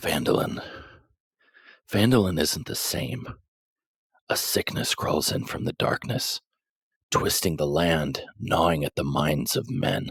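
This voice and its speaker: A man whispers in a put-on character voice, hissing and speaking fairly slowly with long, frequent pauses. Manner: conspiratorial hissing whisper.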